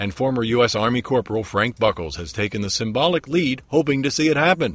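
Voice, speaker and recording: A man's somewhat breathy voice at a medium pitch, very fast, with lively intonation. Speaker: TV news reporter. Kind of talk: TV news report narration.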